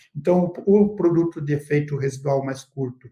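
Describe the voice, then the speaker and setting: With lively intonation, a man speaks in an ordinary speaking voice at a fairly high pitch. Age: 60s. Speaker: agronomy researcher and consultant. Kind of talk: expert interview in a live webinar. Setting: online live stream.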